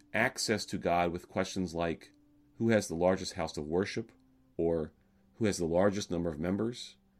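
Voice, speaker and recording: Recorded very cleanly against a silent background, a man with an American accent uses a normal speaking voice at a fairly low pitch. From US South, Alabama. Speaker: rabbi. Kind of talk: sermon. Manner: calm, measured.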